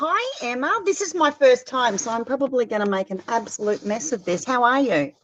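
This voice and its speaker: In an Australian accent, a woman speaks fairly quickly with hardly any pauses, her high voice making very wide pitch swings. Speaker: caller. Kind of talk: casual chat. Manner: hesitant, many fillers.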